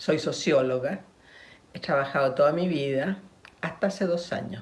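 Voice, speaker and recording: In a Chilean accent, a woman speaks at a moderate pace with lively intonation and a somewhat breathy sound, in a room with audible echo. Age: 80s+. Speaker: sociologist. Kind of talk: recorded video testimony. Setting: prerecorded video.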